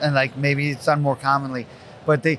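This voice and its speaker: A man talks at a fairly high pitch while noticeable noise carries on in the background. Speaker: sports medicine podcast co-host. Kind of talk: casual podcast recap discussion. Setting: live broadcast booth on convention expo floor.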